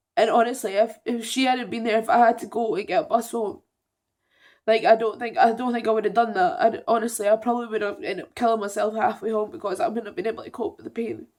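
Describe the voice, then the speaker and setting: Tearful in tone, a woman speaks at a very fast pace and a fairly high pitch with lively intonation and big swings in loudness, on a very clean recording with a silent background. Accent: Scottish. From Edinburgh, Scotland. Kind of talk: personal story told to camera. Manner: emotional, upset, tearful.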